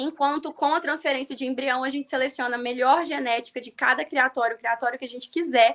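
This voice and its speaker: Talking very fast at a high pitch, a woman leaves hardly any pauses, with ordinary pitch variation. Her loudness swings widely. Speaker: veterinarian teaching livestock reproduction. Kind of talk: live stream lecture. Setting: live stream.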